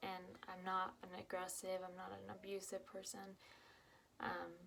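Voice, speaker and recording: A soft-spoken woman's medium-pitched voice with monotone, flat intonation. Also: moderate pace. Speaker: vlogger. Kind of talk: personal testimony. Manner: halting.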